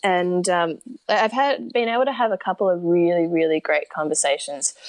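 With an Australian accent, a woman talks at a moderate pace in a fairly low pitch. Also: dry, close sound with no echo. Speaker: long-distance horseback rider and mental health advocate. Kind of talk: interview. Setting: remote call. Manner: animated.

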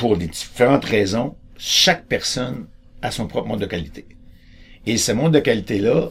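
A man talks at a fairly slow pace with a somewhat breathy quality. His pitch swings very widely. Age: 60s. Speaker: choice theory educator. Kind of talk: explanatory talk.

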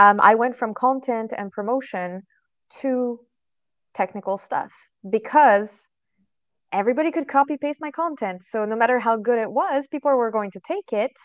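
A woman with a French accent speaks at a moderate pace with a fairly high pitch, ordinary pitch variation and long, frequent pauses, in a dry, close sound with no echo over a quiet background. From France. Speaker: SEO trainer. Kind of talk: interview. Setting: video call.

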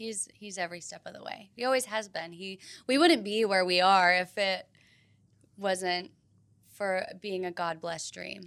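In an ordinary speaking voice, a woman talks at a moderate pace with medium pitch, fairly even intonation and big swings in loudness. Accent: American. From US South, Tennessee. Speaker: former TV news anchor. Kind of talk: casual chat.

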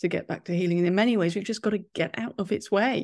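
On a very clean recording with a silent background, a woman with a British accent speaks at medium pitch with fairly even intonation. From England. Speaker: podcast host. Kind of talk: interview.

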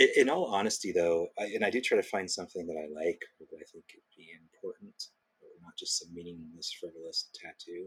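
A man in a relaxed tone at a fairly quick pace, with big swings in loudness. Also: dry, close sound with no echo. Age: 40s. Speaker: small business owner. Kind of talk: interview.

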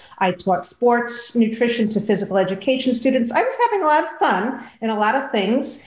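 A woman speaks at a fairly quick pace with hardly any pauses, her pitch high and its variation ordinary, over noticeable background noise. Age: 50s. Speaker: dietitian and health coach. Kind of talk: interview.

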